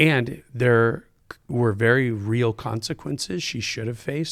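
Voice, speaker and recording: Speaking at a fairly slow pace with an American accent, a man has an unremarkable speaking voice and ordinary pitch variation. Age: 50s. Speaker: pastor. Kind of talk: casual chat.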